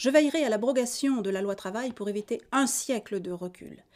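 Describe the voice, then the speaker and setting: Her voice carries a dark, mellow tone. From Auvergne, France. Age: 50s. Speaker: political candidate. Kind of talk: campaign statement. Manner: formal.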